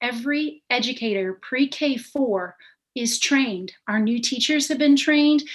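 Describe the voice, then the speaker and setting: Against a quiet background, the speaker talks at a fairly slow pace with ordinary pitch variation. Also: woman, high pitch for a woman. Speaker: instructional coach. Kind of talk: presentation to school board.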